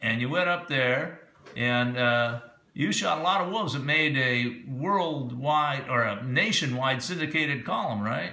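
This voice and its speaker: Over noticeable background noise, a man speaks at medium pitch with ordinary pitch variation and very even loudness. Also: fairly slow pace. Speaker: interviewer. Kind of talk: interview questions.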